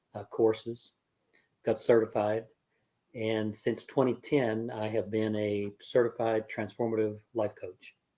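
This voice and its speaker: A man talks at a fairly slow pace and medium pitch. His tone is dark and mellow, his intonation monotone and flat. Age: 70s. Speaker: life coach. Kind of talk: casual chat. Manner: halting, many fillers.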